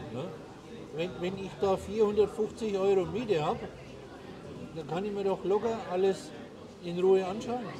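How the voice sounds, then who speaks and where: A man with a high pitch and ordinary pitch variation talks fairly slowly. He pauses long and often, and background noise is noticeable. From Germany. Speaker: expat advisor in Paraguay. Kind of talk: casual interview over a meal.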